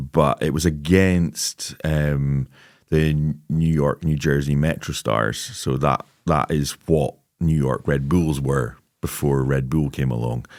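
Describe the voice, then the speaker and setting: At a very slow pace, a man talks in a very deep, low pitch with fairly even intonation. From Scotland, Lossiemouth, Moray. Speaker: football scout and goalkeeping coach. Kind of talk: podcast interview.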